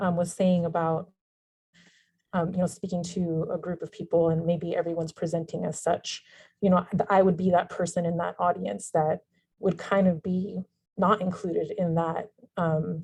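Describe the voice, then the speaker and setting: A woman's somewhat breathy, fairly low-pitched voice in a flat monotone at a moderate pace. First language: non-English language from childhood. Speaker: webinar attendee. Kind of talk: Q&A discussion on video call.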